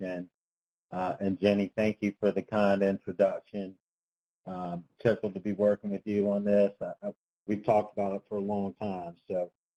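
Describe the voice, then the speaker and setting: Soft-spoken and fairly low-pitched, a man talks at a moderate pace with a dark, mellow tone in a dry, close sound with no echo. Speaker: transportation engineering consultant. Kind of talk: webinar presentation. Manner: tends to speak softly; hesitant, many fillers. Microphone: speaking into phone.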